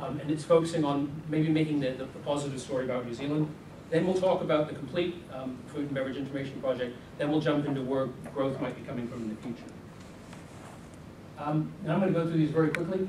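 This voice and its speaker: Amid noticeable background noise and audible room echo, a man with an American accent talks at a very fast pace in a fairly high pitch with fairly even intonation. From US. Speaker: business consultant presenter. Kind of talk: seminar presentation.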